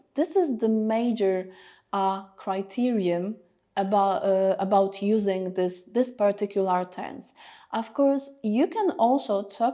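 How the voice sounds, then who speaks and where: A woman with a Polish accent and a dark, mellow tone speaks at a fairly slow pace, fairly high in pitch with ordinary pitch variation. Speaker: English teacher. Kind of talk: tutorial. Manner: hesitant, many fillers.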